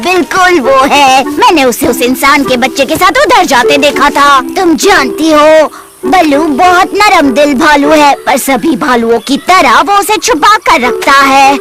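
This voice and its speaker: Hardly any pauses break this put-on character voice, heard over clear background noise. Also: moderate pace. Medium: fan dub.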